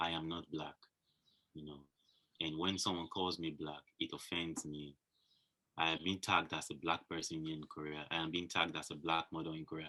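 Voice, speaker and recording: A man with a Nigerian accent, very deep and low in pitch, bright and sharp in tone, at a fairly quick pace with fairly even intonation. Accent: Nigerian (Yoruba) English. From Nigeria, Yoruba. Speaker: fashion model. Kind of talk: interview.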